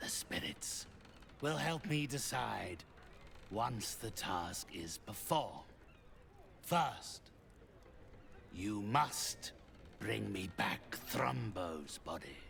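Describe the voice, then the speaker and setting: A man puts on a character voice, fairly low-pitched with very wide pitch swings and clear background noise. He speaks at a very slow pace with long, frequent pauses. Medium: video game. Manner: cold, measured, imperious.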